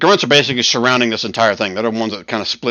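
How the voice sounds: What we hear is a natural reading voice.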